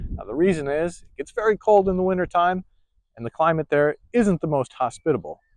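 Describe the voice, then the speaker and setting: High-pitched for a man, this speaker has a strong Minnesota accent and lively intonation, recorded with a dry, close sound and no echo. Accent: Minnesota accent, thick here. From US Midwest, Minnesota. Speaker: travel YouTuber. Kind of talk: travel vlog narration. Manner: casual, folksy.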